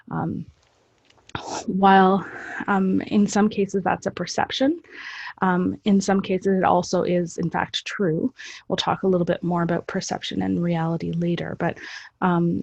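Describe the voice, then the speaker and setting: Woman at a moderate pace, somewhat breathy, medium pitch, with long, frequent pauses. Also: fairly even intonation. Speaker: lactation specialist presenter. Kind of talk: webinar presentation. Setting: online webinar. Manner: hesitant, many fillers.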